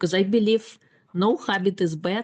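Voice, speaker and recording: A woman with a non-native accent and ordinary pitch variation. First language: not English. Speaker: life coach and author. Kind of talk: podcast interview.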